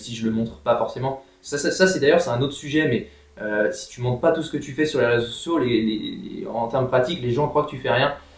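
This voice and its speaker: Noticeable background noise sits behind a man whose medium-pitched voice has ordinary pitch variation. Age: 20s. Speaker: strength and conditioning coach. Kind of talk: casual chat.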